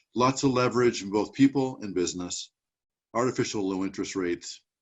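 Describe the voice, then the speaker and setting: Lively in intonation, a man talks at a fairly quick pace with a fairly low pitch. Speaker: business executive hosting a webinar. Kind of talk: presentation to webinar audience. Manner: fast.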